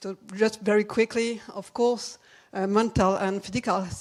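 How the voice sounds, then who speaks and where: A woman with a French accent talks at a moderate pace, her medium-pitched voice following a fairly even intonation. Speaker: commission co-chair presenting a report. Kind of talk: conference presentation. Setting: conference stage with audience. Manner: halting.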